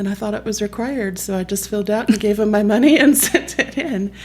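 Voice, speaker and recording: A woman speaks in an American accent at a moderate pace. Her pitch sits in the middle range. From Texas. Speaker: parent association leader. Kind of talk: podcast interview.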